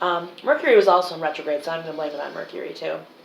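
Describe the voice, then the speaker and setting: Against noticeable background noise and audible room echo, a woman talks at a very fast pace. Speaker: psychic medium. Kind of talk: psychic reading monologue. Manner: filler-heavy, halting.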